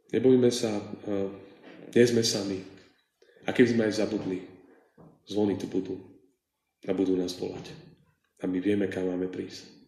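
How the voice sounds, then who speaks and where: A dark, mellow tone carries fairly even intonation at a moderate pace, broken by long, frequent pauses. Room echo is audible. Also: man, fairly low pitch for a man. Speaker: preacher. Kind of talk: sermon. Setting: church.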